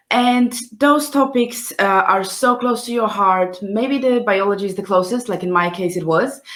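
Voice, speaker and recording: A woman with a Polish accent speaks at a moderate pace with hardly any pauses. Her fairly high voice shows ordinary pitch variation. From Poland. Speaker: scientist hosting a live science careers session. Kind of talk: live stream talk. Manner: hesitant, many fillers.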